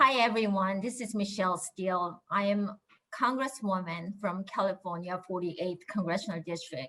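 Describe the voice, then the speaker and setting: A woman speaks with a Korean accent. Her pitch shows ordinary variation. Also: medium pitch for a woman, moderate pace. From Korea, raised in Japan. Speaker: congresswoman. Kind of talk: prepared speech.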